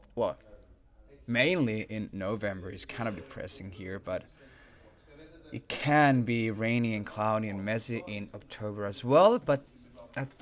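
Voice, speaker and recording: With a Swedish accent, the speaker goes at a fairly slow pace and leaves long, frequent pauses. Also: man, medium pitch for a man, ordinary pitch variation. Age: 30s. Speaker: game livestream host. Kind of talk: live stream chat with viewers. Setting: live stream.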